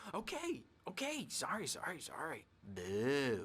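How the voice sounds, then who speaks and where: A man puts on a character voice. His pitch sits fairly high. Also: fairly slow pace. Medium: video game. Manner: erratic, taunting.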